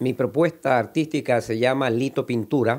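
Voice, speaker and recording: This man's voice sits at a medium pitch with ordinary pitch variation. He talks at a fairly slow pace. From Ecuador (Quevedo, Guayaquil). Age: 60s. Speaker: artist. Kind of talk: interview monologue. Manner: halting, with repetitions.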